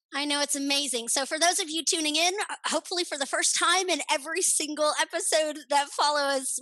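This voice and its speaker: A raised, projected voice with an American accent, bright and sharp in tone, ordinary pitch variation and a fairly quick pace. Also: woman. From California. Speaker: podcast co-host. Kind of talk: casual podcast conversation.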